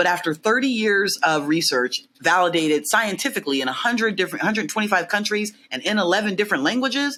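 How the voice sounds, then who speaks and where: A loud woman's voice, very fast and nearly pause-free, with lively intonation and a bright, sharp tone. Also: medium pitch for a woman. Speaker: behavioural science consultant. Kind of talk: casual interview chat. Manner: loud, outgoing.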